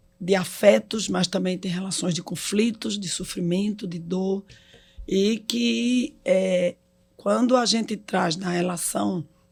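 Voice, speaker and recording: The speech unfolds at a very slow pace. Music plays in the background. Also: woman. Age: 60s. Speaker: hospital executive. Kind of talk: casual chat.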